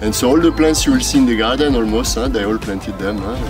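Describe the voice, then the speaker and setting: Clear music plays in the background as a man speaks at a very fast pace. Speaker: plantation tour guide. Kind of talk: tour guide explanation. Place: garden. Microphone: camera far.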